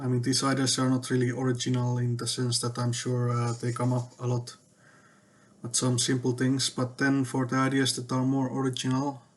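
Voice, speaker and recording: Somewhat breathy, a man talks at a medium pitch and a moderate pace in a non-native accent. His intonation stays monotone and flat. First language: not English. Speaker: tech vlogger. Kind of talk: casual monologue. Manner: hesitant, many fillers.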